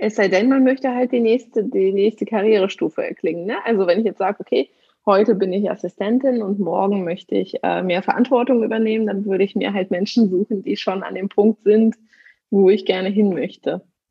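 Moving at a fairly quick pace, an unremarkable speaking voice carries ordinary pitch variation. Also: woman, medium pitch for a woman. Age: 30s. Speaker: negotiation coach. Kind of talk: interview. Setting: remote call.

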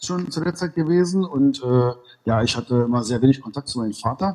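A man with a plain, everyday voice talks at a fairly quick pace, his medium pitch carried by lively intonation. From Berlin (East), Germany. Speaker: martial arts school owner. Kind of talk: casual interview. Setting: remote call.

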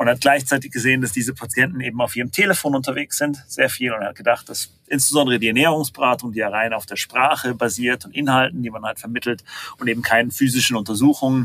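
A man talks at a very fast pace with a bright, sharp tone. His pitch sits at a medium level with ordinary variation. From half German, half American. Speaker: startup founder and CEO. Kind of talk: interview. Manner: hesitant, many fillers.

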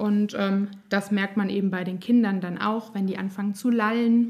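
This woman speaks at a medium pitch and a moderate pace. Her intonation stays flat and monotone. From Germany, Nassau (Rhineland-Palatinate). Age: 30s. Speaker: speech therapist and singer. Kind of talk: interview; guided voice exercise.

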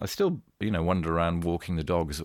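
On a very clean recording with a silent background, a man with a very deep, low pitch speaks at a very fast pace with fairly even intonation. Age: 60s. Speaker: poker executive and former TV director. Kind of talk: casual interview chat. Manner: halting, repeats words.

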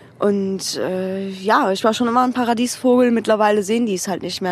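Over noticeable background noise, a woman speaks at a fairly quick pace with a medium pitch and fairly even intonation. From Cologne, Germany. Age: 20s. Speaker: alternative model. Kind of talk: casual interview chat. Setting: outdoors on a curb, with beer.

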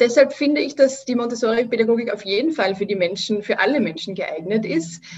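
Speaking in an Austrian accent, a woman uses a fairly high pitch with ordinary pitch variation. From Austria, Vienna. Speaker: Montessori educator. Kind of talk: interview.

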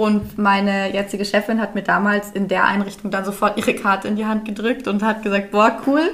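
Against noticeable background noise, a woman speaks at a moderate pace and a fairly high pitch. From Bavaria, Dachau. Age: 20s. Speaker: podcast host, childcare educator. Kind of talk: casual chat. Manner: animated.

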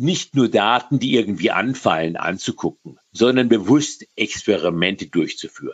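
A man with a medium pitch talks with lively intonation and hardly any pauses. He has an unremarkable speaking voice. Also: moderate pace. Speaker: data scientist. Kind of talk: interview.

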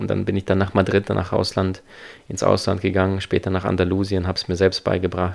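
A man speaks at a very fast pace with a very deep, low pitch. His intonation is monotone and flat. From abroad, came to Germany at twelve. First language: not German (speaking German). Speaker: seminar speaker and life coach. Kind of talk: interview. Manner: fluent with frequent fillers.

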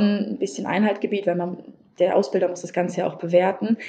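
A woman's medium-pitched voice, dark and mellow in tone, at a moderate pace. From Hesse, Germany (Wiesbaden). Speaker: teacher trainee. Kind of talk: interview. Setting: podcast interview.

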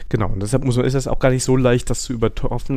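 A man with a dark, mellow tone speaks at a fairly quick pace in a monotone, flat intonation. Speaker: software developer podcast host. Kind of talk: casual chat.

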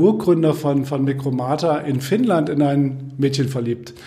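Speech at a moderate pace with ordinary pitch variation comes through audible room echo and noticeable background noise. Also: man. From Germany, Kassel (northern Hesse). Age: 50s. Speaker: software company founder and managing director. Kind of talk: casual interview.

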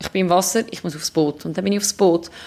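A woman speaks with a Swiss accent and ordinary pitch variation. Her tone is dark and mellow. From Switzerland. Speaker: ocean rower and ultramarathon runner. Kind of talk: interview. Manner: halting.

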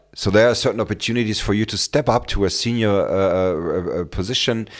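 On a very clean recording with a silent background, this fairly quick speaker talks with a German accent and fairly even intonation. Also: man. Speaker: career coach and podcast host. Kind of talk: solo podcast monologue. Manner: halting, many fillers and repetitions.

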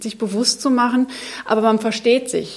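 At a moderate pace and with fairly even intonation, a woman speaks over noticeable background noise. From Germany, Munich. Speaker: biochemist. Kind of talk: panel discussion. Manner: hesitant, many fillers.

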